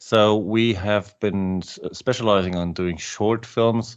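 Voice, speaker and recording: Against a quiet background, a man speaks at a fairly slow pace in a German accent, his pitch varying in an ordinary way. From Germany. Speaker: political video maker. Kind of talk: podcast interview. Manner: halting.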